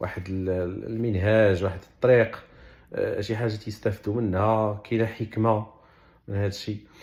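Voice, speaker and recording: On a very clean recording with a silent background, a man speaks at a moderate pace with a fairly low pitch and monotone, flat intonation. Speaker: Quran explainer. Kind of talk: religious explanation in colloquial dialect. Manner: casual, conversational.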